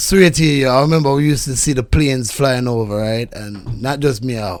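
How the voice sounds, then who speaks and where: A man speaks with a Jamaican accent at a medium pitch. His pace is fairly quick, with ordinary pitch variation. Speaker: podcast guest. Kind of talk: casual chat.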